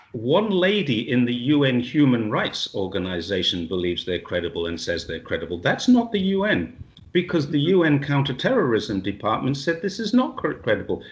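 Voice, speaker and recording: A somewhat breathy man at a moderate pace, very wide pitch swings and hardly any pauses. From England. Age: 60s. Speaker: retired police officer and expat. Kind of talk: interview. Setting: video call. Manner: animated.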